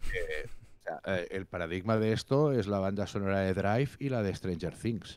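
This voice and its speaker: There's hardly any pausing as a man with a fairly low pitch speaks at a fairly slow pace, with ordinary pitch variation and a dry sound with no echo. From Catalonia. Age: 40s. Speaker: music critic and musician; interview guest. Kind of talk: casual interview. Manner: animated. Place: home room. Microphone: handheld.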